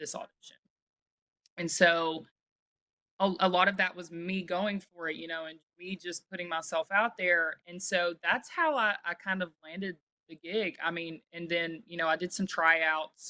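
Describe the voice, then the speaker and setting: Bright and sharp in tone, this voice has a Southern US accent, a fairly slow pace, flat monotone intonation, big swings in loudness, and a dry, close sound with no echo. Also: woman, fairly low pitch for a woman. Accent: Southern American. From Alabama, USA. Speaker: singer-songwriter. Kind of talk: interview answer. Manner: casual, chatty.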